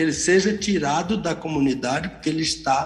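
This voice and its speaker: Noticeable background noise accompanies a man whose voice sits fairly high in pitch. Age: 70s. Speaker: pastor and Bible teacher. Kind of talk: radio Bible teaching. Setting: live radio broadcast.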